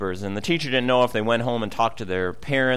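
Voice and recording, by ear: The text is read out in a natural voice, the pitch rising and falling in an ordinary way.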